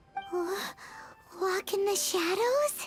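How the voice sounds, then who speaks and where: A put-on character voice at an extremely high pitch, with clear music in the background. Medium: video game. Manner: excitable.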